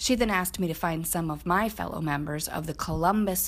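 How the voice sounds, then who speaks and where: Fairly low in pitch with vocal fry, a woman talks at a moderate pace on a very clean recording with a silent background. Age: 90s. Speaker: quilter. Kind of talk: scripted narration.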